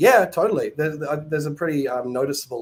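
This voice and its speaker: There is noticeable background noise as a man with a New Zealand accent speaks at a very fast pace. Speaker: caller. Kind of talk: call-in conversation.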